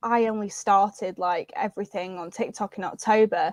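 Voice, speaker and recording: Speaking with a northern English accent, a woman talks at a fairly slow pace in a fairly high voice with fairly even intonation, the sound dry and close with no echo over a quiet background. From northern England, Preston, Lancashire. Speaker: social media creator. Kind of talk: casual chat.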